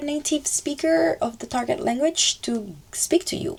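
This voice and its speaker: A woman with a slight French accent and very wide pitch swings, against noticeable background noise. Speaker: language-learning YouTuber. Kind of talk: casual vlog talk. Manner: casual, filler-heavy with self-corrections.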